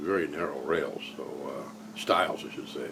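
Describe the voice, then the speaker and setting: A man at a moderate pace with audible room echo. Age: 60s. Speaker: woodworker. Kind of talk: tutorial vlog. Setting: home garage. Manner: halting, many fillers.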